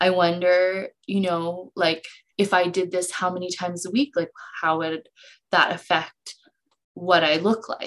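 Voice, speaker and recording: A woman's plain, everyday voice, fairly slow, with fairly even intonation. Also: medium pitch for a woman. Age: 30s. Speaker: podcast co-host, student and yoga teacher. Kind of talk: casual chat. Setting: video call.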